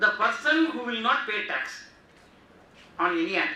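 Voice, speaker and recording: Amid noticeable background noise and audible room echo, a man uses a raised, projected voice at a high pitch, with lively intonation and a fairly slow pace. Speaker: GST workshop speaker. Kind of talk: lecture. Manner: loud.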